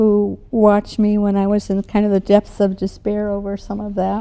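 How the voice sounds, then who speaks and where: At a moderate pace, a woman with an American accent speaks in a dark, mellow tone at a medium pitch. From US Midwest, Milwaukee, Wisconsin. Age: 70s. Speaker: retired educator. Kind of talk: interview.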